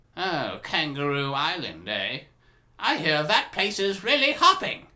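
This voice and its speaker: Using a put-on character voice, a man speaks fairly high and at a fairly slow pace. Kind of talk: character voice impressions.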